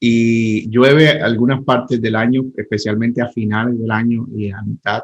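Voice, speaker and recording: Speaking in a Colombian Caribbean accent, a man talks with hardly any pauses and a monotone, flat intonation. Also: medium pitch for a man, moderate pace. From Colombian Caribbean coast, Santa Marta. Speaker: pastor. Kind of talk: casual interview chat.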